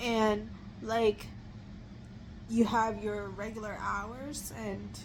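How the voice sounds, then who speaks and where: Audible room echo surrounds a woman speaking. She goes at a very slow pace, with long, frequent pauses. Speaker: vlogger. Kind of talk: casual chat. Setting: lying in bed at home. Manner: halting, many fillers.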